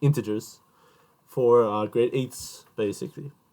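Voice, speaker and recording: A man speaks at a moderate pace, his medium pitch showing ordinary variation. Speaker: math tutor, student. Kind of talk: casual talk to camera. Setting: at a laptop. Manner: halting, stumbling over words; animated.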